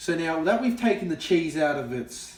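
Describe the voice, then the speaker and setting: There is noticeable background noise behind this man. He speaks with an Australian accent at a fairly high pitch. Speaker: comedy video host. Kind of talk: comedic tutorial skit. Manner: animated.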